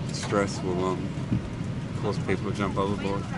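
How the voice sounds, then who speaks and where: Music plays in the background. The sound is dry, with no echo. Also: man. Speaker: traveller vlogger. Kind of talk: casual vlog chat. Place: plane. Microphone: phone near.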